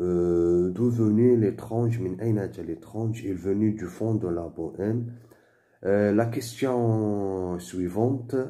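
A man talks at a very slow pace in a fairly low pitch with a dark, mellow tone. Audible room echo surrounds his voice. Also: ordinary pitch variation. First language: Moroccan Arabic (Darija) (speaking French). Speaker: French teacher / tutor. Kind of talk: tutorial. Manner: halting.

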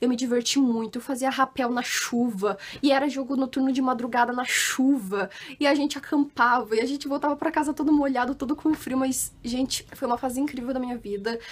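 Quick-paced and high-pitched, the woman speaks with fairly even intonation. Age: 20s. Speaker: YouTuber; vlogger. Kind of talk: casual vlog talk to camera. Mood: cheerful, warm, nostalgic. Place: home room. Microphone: phone near.

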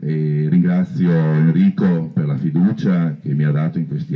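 Someone talks at a fairly slow pace over a quiet background. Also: man. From Veneto, Stienta (Polesine); Veneto. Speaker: council candidate, deputy mayor, lawyer. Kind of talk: campaign speech. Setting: outdoors in a park. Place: garden.

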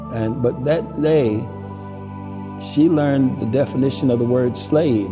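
Clear music in the background behind a man at a moderate pace. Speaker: museum executive director, local storyteller. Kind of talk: storytelling on camera, local history narration. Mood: solemn, reflective. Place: church.

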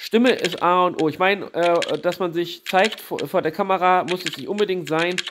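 With fairly even intonation, a man speaks at a high pitch and a moderate pace. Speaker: YouTuber reviewing small channels. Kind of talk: casual channel review monologue. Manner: hesitant, many fillers.

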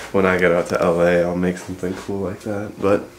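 Over noticeable background noise, a man speaks with a very deep, low pitch. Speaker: vlogger. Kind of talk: casual vlog chat. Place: home room. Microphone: phone near.

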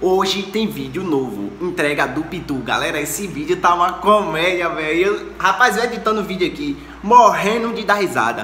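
The recording of a man's voice has audible room echo and light background noise. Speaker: channel host. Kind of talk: casual vlog chat. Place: home room. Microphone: phone near.

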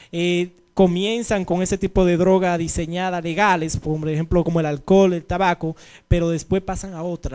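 A man with a high pitch speaks in a monotone, flat intonation. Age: 40s. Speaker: TV show host, youth worker; TV show host. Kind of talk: interview. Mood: earnest, motivational. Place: studio. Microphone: handheld.

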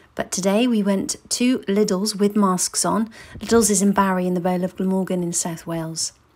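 A woman's normal speaking voice at medium pitch and a moderate pace, on a very clean recording with a silent background. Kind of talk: casual interview questions.

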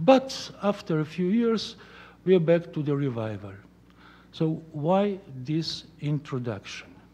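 Fairly slow speech in a Slovenian accent, dark and mellow in tone, with very wide pitch swings. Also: man. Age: 60s. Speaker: art critic. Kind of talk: lecture. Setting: stage with audience. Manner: halting. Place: hall. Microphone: podium.

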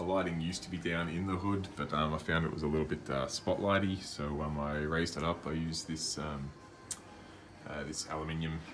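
Over background music, a man with a very deep voice talks at a fairly quick pace with ordinary pitch variation. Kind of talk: casual tour commentary. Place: home room. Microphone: phone near.

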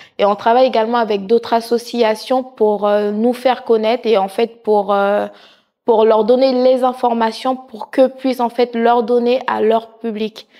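A woman's fairly high, dark, mellow voice, monotone and flat, at a fairly slow pace against a quiet background. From Haitian heritage. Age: 30s. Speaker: nursing assistant and charity president. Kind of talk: interview monologue. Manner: hesitant with many fillers. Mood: warm, sincere. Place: studio. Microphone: lapel.

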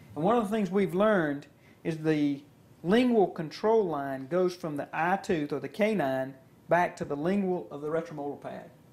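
A man's high-pitched voice with ordinary pitch variation at a moderate pace. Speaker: dentist instructor. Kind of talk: instructional demonstration.

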